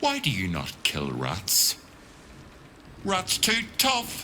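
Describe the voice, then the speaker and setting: Putting on a gruff character voice, a man speaks at a very slow pace against clear background noise. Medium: video game. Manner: gruff, bossy, coarse.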